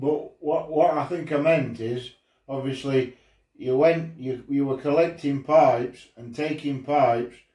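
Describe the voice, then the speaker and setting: Speaking at a fairly slow pace, a man with a fairly high pitch and a dark, mellow, somewhat breathy tone keeps his intonation fairly even while his loudness swings widely. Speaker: pipe smoking channel host. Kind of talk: interview question.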